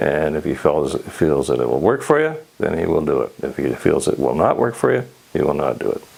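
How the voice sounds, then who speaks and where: Over noticeable background noise, a man with a western Canadian accent talks at a fairly quick pace. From Canada (Alberta). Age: 80s+. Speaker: patient. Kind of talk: patient testimonial. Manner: hesitant, many fillers.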